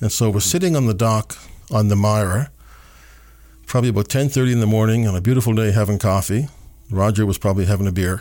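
A man with a Canadian Maritime accent, a dark, mellow tone and fairly low pitch, very fast speech broken by long, frequent pauses, ordinary pitch variation and very even loudness. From Nova Scotia, Canada (Dartmouth). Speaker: city mayor. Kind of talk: interview.

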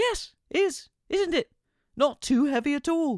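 In a put-on character voice, a man squeaks at an extremely high pitch and speaks at a fairly slow pace. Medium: read story. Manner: rambling, jolly.

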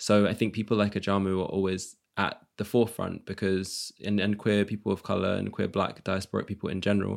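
In a very clean recording with a silent background, a man with a London accent talks very fast at a fairly low pitch with flat, monotone intonation. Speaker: multidisciplinary artist. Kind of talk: casual chat.

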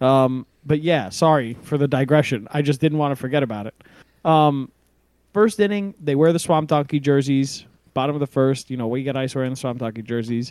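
At a moderate pace, a man uses a normal speaking voice that is fairly high in pitch, with ordinary pitch variation. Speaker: podcast host. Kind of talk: casual chat.

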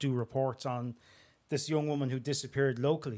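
A man with a Dublin accent speaks at a medium pitch in a monotone, flat intonation, in a very clean recording with a silent background. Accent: Dublin Irish. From Dublin, Tallaght. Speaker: crime and security journalist. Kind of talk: interview conversation.

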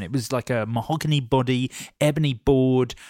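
A man speaks with a British accent at a medium pitch. The recording is very clean, dry and close, with no echo and a silent background. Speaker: podcast host. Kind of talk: casual chat.

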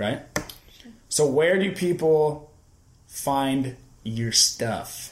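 Through noticeable background noise, a man with a fairly high voice speaks at a very slow pace with ordinary pitch variation. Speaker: podcast host. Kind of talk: casual chat.

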